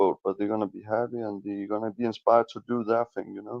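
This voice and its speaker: At a moderate pace, a man with a non-native accent talks with fairly even intonation. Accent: foreign. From Denmark. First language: Danish. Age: 20s. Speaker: livestream guest. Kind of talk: casual chat. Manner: halting.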